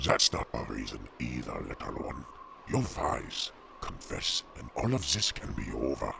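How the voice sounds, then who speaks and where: A man's put-on character voice at a moderate pace, with clear background noise. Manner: menacing.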